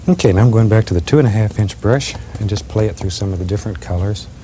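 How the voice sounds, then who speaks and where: A man speaks in a soothing, gentle tone at a fairly quick pace. Noticeable background noise runs behind him. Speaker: painting instructor. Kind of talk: TV painting tutorial. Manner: soft-spoken.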